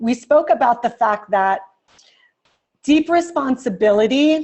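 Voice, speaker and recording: Against a quiet background, a woman speaks in an animated tone with lively intonation. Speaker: executive coach. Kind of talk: lecture. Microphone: webcam.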